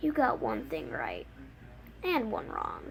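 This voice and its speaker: Putting on a character voice, a woman speaks at a fairly slow pace over clear background noise. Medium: read story. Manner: cold, menacing.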